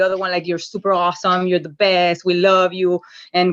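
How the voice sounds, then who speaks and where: A woman speaks at a medium pitch. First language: not English. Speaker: call participant. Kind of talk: group call sharing. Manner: halting, many fillers and repeats.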